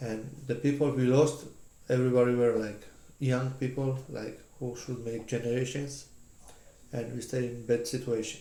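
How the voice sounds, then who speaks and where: In a room with audible echo, a man with a medium-pitched, dark, mellow voice speaks in a monotone, flat way at a moderate pace, with long, frequent pauses. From Georgia (country). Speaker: interviewee. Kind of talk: casual chat. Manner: halting.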